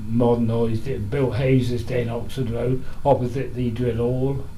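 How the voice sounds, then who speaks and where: In a Buckinghamshire accent, a man of medium pitch speaks at a moderate pace, with audible room echo around him. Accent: old Aylesbury Buckinghamshire. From Buckinghamshire, Aylesbury. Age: 90s. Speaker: elderly local resident interviewed about history. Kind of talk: reminiscing interview. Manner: halting, with false starts.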